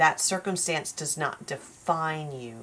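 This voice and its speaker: A woman speaks at a fairly slow pace in a very deep, low voice. The recording is very clean, with a silent background. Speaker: tarot reader. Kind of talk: spiritual tarot reading monologue. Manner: slow and careful.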